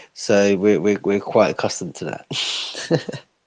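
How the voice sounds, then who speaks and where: In an English accent, a man speaks at a fairly slow pace with a fairly low pitch. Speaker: co-host. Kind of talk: casual chat.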